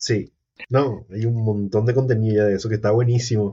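A man's somewhat breathy voice at medium pitch, monotone and flat in intonation. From Paraguay, San Lorenzo area. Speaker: content creator. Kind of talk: casual chat.

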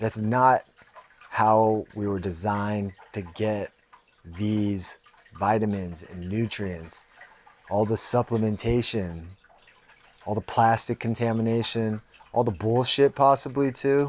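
A man with a Californian accent, fairly low in pitch, fairly slow, with ordinary pitch variation and long, frequent pauses. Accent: Californian American. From US West Coast, San Jose. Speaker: podcast host and fighter. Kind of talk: casual monologue.

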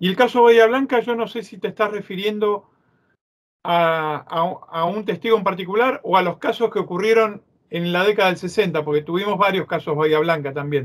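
Recorded very cleanly against a silent background, a man speaks at a high pitch and a moderate pace with ordinary pitch variation. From Argentina. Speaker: ufologist and author. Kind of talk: interview.

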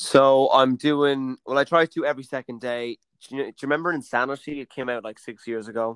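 A man with a western Irish accent talks at a fairly quick pace, medium in pitch, with fairly even intonation but big swings in loudness. The sound is dry and close with no echo, a very clean recording over a silent background. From Mayo, west of Ireland. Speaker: podcast co-host, actor. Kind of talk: casual chat, drinking banter.

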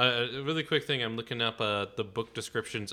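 Ordinary pitch variation and a fairly quick pace in a normal speaking voice. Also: man. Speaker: podcast co-host. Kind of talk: casual banter, film review podcast.

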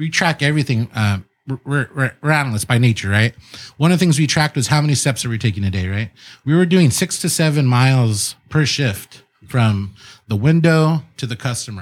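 A man's normal speaking voice with an American accent, medium-pitched and lively in intonation, at a fairly quick pace on a very clean recording with a silent background. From San Diego South Bay, California. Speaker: restaurateur and city councilman. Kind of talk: casual chat. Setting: studio.

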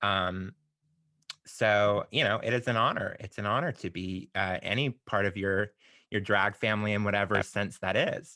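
An ordinary speaking voice, from a man with a fairly low pitch. He keeps a moderate pace and fairly even intonation. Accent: American. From US South. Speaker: podcast host and drag performer. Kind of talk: casual interview.

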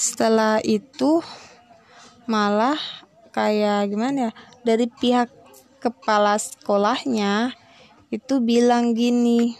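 A woman's fairly high voice with fairly even intonation, very slow in pace with long, frequent pauses. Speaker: student. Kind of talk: solo podcast talk. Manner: halting.

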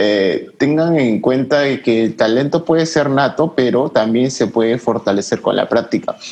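A man speaks fairly slowly in an ordinary speaking voice at a medium pitch, with ordinary pitch variation. His loudness stays very even and he hardly pauses. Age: 20s. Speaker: graphic design student and photographer. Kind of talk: casual chat.

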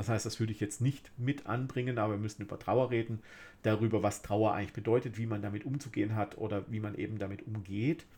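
Speaking very fast, a man has a fairly low, somewhat breathy voice with a dark, mellow tone, on a very clean recording with a silent background. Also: fairly even intonation. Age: middle-aged. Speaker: podcast host. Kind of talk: solo monologue podcast.

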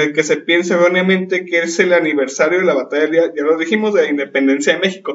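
Using fairly even intonation, a man speaks fairly quickly at a high pitch. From Mexico. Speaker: podcast host. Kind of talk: panel discussion.

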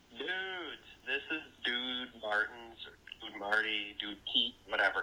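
A man with a Wisconsin accent, medium pitch, bright, sharp tone, ordinary pitch variation and a fairly slow pace. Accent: Wisconsin, American Midwest.

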